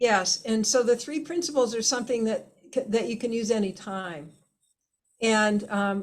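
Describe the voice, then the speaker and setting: Speaking at a moderate pace, a woman varies her pitch in an ordinary way. There is some breathiness to her voice. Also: fairly high pitch for a woman. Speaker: healing method teacher and facilitator. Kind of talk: interview. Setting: video call.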